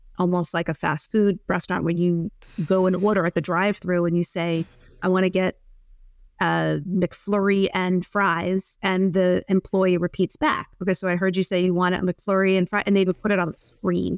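A woman talks at a moderate pace and medium pitch in a monotone, flat intonation with very even loudness. The sound is dry and close with no echo, on a very clean recording with a silent background. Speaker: psychotherapist. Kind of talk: casual interview conversation.

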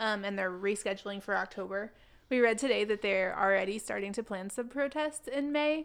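A woman's plain, everyday voice, medium in pitch with ordinary pitch variation, at a fairly quick pace over a quiet background. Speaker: missionary. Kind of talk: casual chat.

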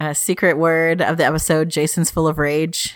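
A woman with a low pitch, a moderate pace and little pitch movement

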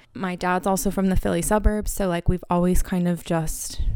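A woman with an American accent talks fairly quickly in a fairly low pitch, an unremarkable speaking voice. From Pennsylvania, US (Harrisburg). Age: 20s. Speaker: podcast host. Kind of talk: solo podcast monologue. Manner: casual, rambling with many fillers.

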